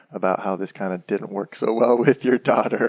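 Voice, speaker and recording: A man speaks in a normal speaking voice at a fairly low pitch, keeping his intonation fairly even. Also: dry, close sound with no echo. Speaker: podcast host. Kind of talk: podcast interview questions.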